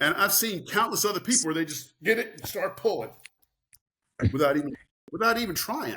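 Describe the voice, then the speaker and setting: A man speaks in a high, bright, sharp, raised and projected voice with an animated tone and very wide pitch swings. He talks fairly quickly but leaves long, frequent pauses. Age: 60s. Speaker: farm owner and author. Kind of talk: interview.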